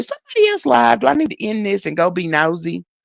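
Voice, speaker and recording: A woman's voice comes through dry and close with no echo over a quiet background. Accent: Southern US. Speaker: livestreamer. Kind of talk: casual chat. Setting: live stream. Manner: animated.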